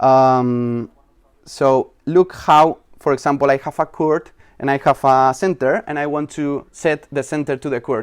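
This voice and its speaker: With a non-native accent, a man speaks at a fairly slow pace in a fairly high pitch, his intonation fairly even and the sound dry and close with no echo. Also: very clean recording, silent background. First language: not English. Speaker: software developer. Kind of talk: conference talk. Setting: stage with audience. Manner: halting.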